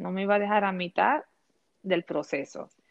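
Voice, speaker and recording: A woman with a Puerto Rican accent speaks at a medium pitch with ordinary pitch variation. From Puerto Rico. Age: 40s. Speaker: educator and fashion content creator. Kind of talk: interview.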